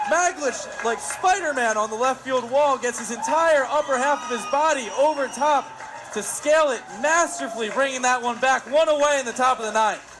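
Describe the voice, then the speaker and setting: A man's extremely high-pitched voice at a moderate pace, with ordinary pitch variation and crowd noise in the background. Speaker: sports broadcaster (play-by-play announcer and interviewer). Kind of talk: baseball play-by-play commentary.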